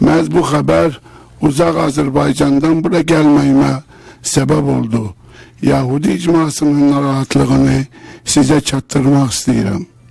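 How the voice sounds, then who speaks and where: Very even loudness holds throughout this moderately paced speech, with noticeable background noise. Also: man. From Azerbaijan. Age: 60s. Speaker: community leader. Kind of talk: testimony. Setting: legislative committee hearing.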